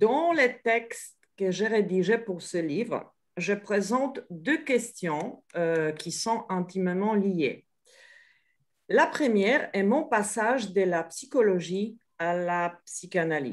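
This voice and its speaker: Her pace is very slow. The woman's intonation is lively. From Poland. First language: Polish (speaking French). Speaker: psychoanalyst. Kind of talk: online panel talk. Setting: video call. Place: home room. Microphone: video call.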